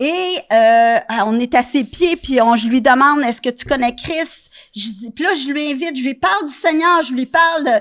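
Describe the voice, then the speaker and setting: High-pitched female speech at a moderate pace, its pitch varying in an ordinary way. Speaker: missions pastor. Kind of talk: interview testimony.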